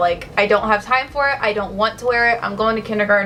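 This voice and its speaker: A woman's voice comes through with noticeable noise in the background. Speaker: beauty vlogger. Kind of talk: makeup tutorial. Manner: casual; fast.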